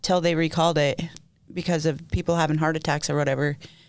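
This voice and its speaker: A woman with a plain, everyday voice, fairly low pitch, fairly even intonation, and a fairly quick pace, in a very clean recording with a silent background. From Utah. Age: 40s. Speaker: recovering addict sharing her story. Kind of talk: testimony. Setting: studio.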